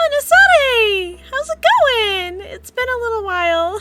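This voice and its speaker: Putting on a character voice, a woman goes squeaky at an extremely high pitch, with lively intonation, big swings in loudness and a fairly slow pace. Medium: actual play. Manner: flustered, rambling.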